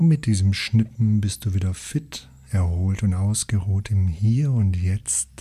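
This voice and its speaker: A man talks at a very slow pace with very even loudness and a fairly low pitch. His voice is somewhat breathy, with lively intonation and a soothing, calm tone. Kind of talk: guided meditation. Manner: slow, soothing, calm and gentle with long pauses; soft, hypnotic, repetitive phrasing.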